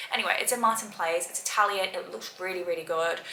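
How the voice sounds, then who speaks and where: At a very fast pace, a woman talks at medium pitch with ordinary pitch variation, amid noticeable background noise and audible room echo. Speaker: lifestyle vlogger. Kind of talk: casual vlog talk to camera. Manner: quiet, soft; chatty, upbeat.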